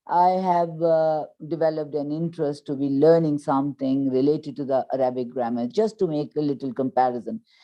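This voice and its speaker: A woman with a Pakistani accent, very deep, low pitch, ordinary pitch variation and hardly any pauses. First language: Urdu. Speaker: English teacher. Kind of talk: interview.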